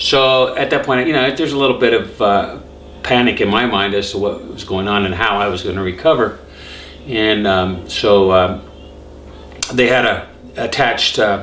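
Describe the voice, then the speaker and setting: With noticeable background noise and audible room echo, a man speaks at a moderate pace and medium pitch, using ordinary pitch variation and long, frequent pauses. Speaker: cancer survivor vlogger. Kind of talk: personal testimony. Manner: halting, many fillers.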